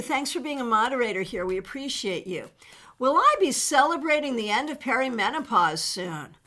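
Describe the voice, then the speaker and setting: A woman projects a raised voice at a high pitch and a moderate pace, swinging very widely in pitch. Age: 60s. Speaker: tarot reader. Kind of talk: live-stream tarot reading answering viewer questions. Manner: casual and animated.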